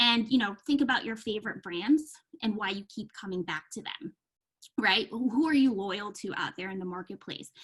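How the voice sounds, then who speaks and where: With a plain, everyday voice, this woman talks at a moderate pace and fairly high pitch, showing ordinary pitch variation and big swings in loudness. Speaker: marketing consultant running a workshop. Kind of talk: virtual workshop presentation. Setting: video call.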